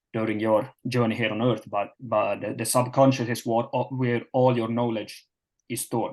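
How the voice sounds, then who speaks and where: Medium-pitched, monotone, flat speech from a man at a fairly quick pace against a quiet background. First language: not English (English is third language). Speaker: performance coach. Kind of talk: webinar presentation. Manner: halting, many fillers.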